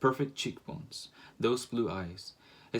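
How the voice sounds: It is a natural reading voice.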